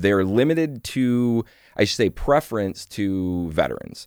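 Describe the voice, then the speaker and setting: With an American accent and a normal speaking voice, a man talks at a moderate pace in a fairly low pitch with lively intonation, in a very clean recording with a silent background and a dry, close sound with no echo. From Michigan. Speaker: university veterans center director and Marine veteran. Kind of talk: interview. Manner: many filler words (uh, um).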